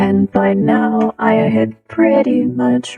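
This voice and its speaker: A woman's raspy, put-on character voice, very deep and low in pitch, very slow, with faint music in the background. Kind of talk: comic anecdote. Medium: solo performance. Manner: wry, laughing often.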